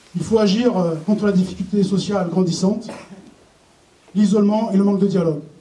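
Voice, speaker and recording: Audible room echo surrounds a man's voice. He speaks at a high pitch with fairly even intonation. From southern France (Var). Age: 40s. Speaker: municipal election candidate, teacher. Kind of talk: campaign speech read from notes. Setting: public meeting hall with audience. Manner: halting, many hesitations.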